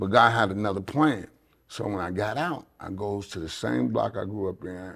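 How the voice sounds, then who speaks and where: A man's voice with vocal fry and lively intonation. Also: moderate pace. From Chicago, US. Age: 60s. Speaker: pastor and gang ministry worker. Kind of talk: interview testimony. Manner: repetitive, stumbling starts.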